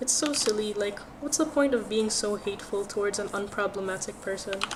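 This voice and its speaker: Moderate pace and fairly even intonation amid noticeable background noise. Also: woman. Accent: Filipino. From Philippines. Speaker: art streamer. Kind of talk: casual livestream chat while drawing. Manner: calm.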